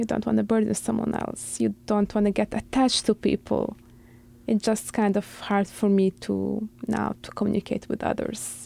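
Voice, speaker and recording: In an Arabic accent, the speaker comes across with a dry, close sound and no echo. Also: woman, moderate pace. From Syria. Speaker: refugee. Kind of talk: interview.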